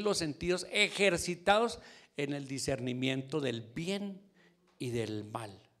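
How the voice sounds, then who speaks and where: Very wide pitch swings mark this man's speech. His delivery is fairly slow. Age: 60s. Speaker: church elder, guest preacher. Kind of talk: sermon. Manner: conversational, with repetitions.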